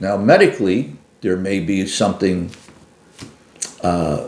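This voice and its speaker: Noticeable background noise and audible room echo accompany a man talking fairly slowly. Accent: Philadelphia. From US Northeast, Philadelphia. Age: 70s. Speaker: retired carpenter and military veteran. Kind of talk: interview. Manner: halting, with frequent fillers.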